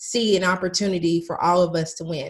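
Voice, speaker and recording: Woman's somewhat breathy voice, moving at a moderate pace. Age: 30s. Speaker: business coach. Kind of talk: casual chat.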